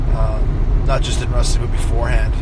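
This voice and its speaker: A man talks at a moderate pace against loud background noise. The sound is dry, with no echo. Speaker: host talking to live viewers. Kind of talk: casual vlog chat. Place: car. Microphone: phone near.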